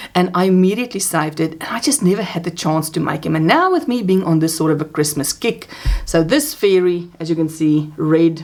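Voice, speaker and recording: A woman's fairly low voice at a moderate pace, with noticeable background noise. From South Africa. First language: Afrikaans. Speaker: crochet vlogger. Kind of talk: casual craft vlog. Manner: chatty, hesitant fillers.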